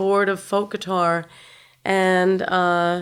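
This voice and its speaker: This is a woman speaking in an American accent. The recording is very clean, with a silent background. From New York City, Upper West Side. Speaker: guitarist. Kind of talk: interview.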